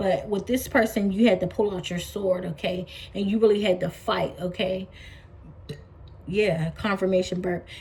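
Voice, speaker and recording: A woman at medium pitch, moderate pace and fairly even intonation, with long, frequent pauses. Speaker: tarot reader. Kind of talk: tarot reading to camera. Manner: halting.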